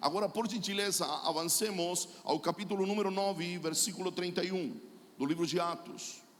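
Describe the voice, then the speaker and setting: This man talks at a fairly slow pace with a high pitch and ordinary pitch variation. Noticeable background noise sits behind him. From Chile. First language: Spanish (speaking Portuguese). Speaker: pastor and prophet. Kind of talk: sermon.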